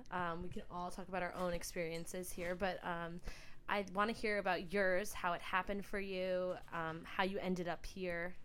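Woman with an American accent at a moderate pace, her intonation monotone and flat. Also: medium pitch for a woman. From New York. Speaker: podcast co-host. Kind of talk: casual chat.

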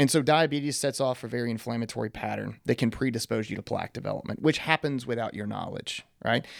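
With a Texan accent, a man talks at a fairly quick pace with fairly even intonation on a very clean recording with a silent background. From East Texas. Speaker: doctor and health company executive. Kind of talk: casual interview on health. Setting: studio.

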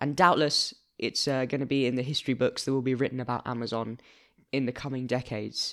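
A man with a London accent, medium in pitch and monotone, at a very fast pace on a very clean recording with a silent background. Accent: British (London). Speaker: news podcast host. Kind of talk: casual news discussion. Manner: formal, articulate.

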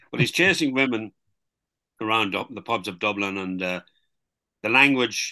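This man speaks with an Irish accent at a moderate pace, his tone bright and sharp, his pitch varying in an ordinary way against a quiet background. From Ireland, border county. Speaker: novelist. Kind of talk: interview. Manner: hesitant, many fillers.

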